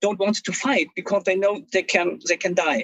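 Speaking with a German accent, a man's voice sits high in pitch. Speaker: history professor. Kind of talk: interview. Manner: formal.

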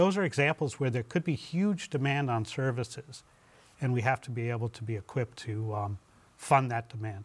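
Talking at a fairly quick pace, a man with a medium pitch sounds somewhat breathy. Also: lively intonation. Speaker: legislator. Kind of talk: panel discussion.

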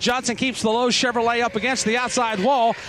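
A fairly quick pace marks this clip. It is a man who is talking. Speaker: turn announcer. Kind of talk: live race call. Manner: rapid, urgent, vivid play-by-play.

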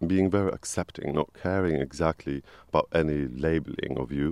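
Against a quiet background, a man with a dark, mellow tone speaks at a moderate pace with ordinary pitch variation, the sound dry and close with no echo. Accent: Polish. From Poland. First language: Polish. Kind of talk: interview.

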